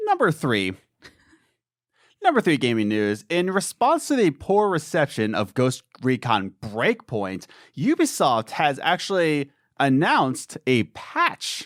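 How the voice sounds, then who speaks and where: A man at a fairly slow pace with very wide pitch swings, a dry, close sound with no echo, and a very clean recording with a silent background. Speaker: gaming podcast host. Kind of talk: casual chat. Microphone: new Rode Procaster, settings being adjusted.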